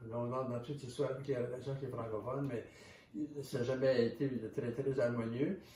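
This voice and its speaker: Over noticeable background noise and audible room echo, a man of medium pitch talks fairly quickly in a monotone, flat delivery with a Canadian French accent. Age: 70s. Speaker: author and historian. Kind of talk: interview. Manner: halting, with many repetitions.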